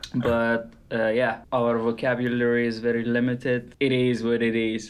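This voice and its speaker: Spoken with a non-native accent, the words come at a moderate pace in a monotone, flat intonation. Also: man, medium pitch for a man, very even loudness. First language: not English. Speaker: podcast co-host, artist. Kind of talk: casual chat.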